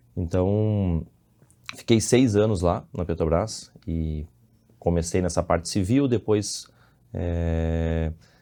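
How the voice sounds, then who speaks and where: On a very clean recording with a silent background, a man speaks in a Rio Grande do Sul accent with a very deep, low pitch and a dark, mellow tone. His very slow delivery carries ordinary pitch variation and long, frequent pauses. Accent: southern Brazilian Portuguese (gaúcho). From Brazil, Rio Grande do Sul (Santa Maria). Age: 30s. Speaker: civil engineer and businessman. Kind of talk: podcast interview. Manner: halting, with repetitions.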